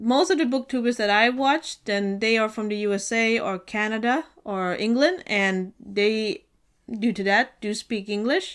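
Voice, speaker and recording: With an unremarkable speaking voice, a woman talks at a fairly high pitch and fairly slow pace, with ordinary pitch variation, in a very clean recording with a silent background. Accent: American. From US and Sweden. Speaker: book vlogger. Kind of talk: casual vlog talk.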